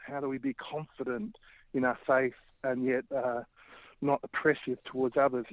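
Speaking with an Australian accent, a man talks at medium pitch with fairly even intonation. His pace is moderate, with long, frequent pauses. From Australia, Melbourne. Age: 40s. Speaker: urban ministry leader. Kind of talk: interview.

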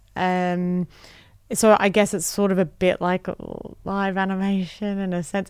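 On a very clean recording with a silent background, a woman with an Australian accent speaks at a moderate pace and medium pitch. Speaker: comedian. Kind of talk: interview. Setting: studio.

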